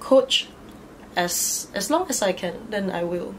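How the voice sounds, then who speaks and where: Light background noise sits behind a woman whose pitch swings very widely. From Malaysia, Batu Pahat, Johor; Johor, Malaysia. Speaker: DJ and fitness instructor; DJ, fitness instructor. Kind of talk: casual interview chat. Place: home room.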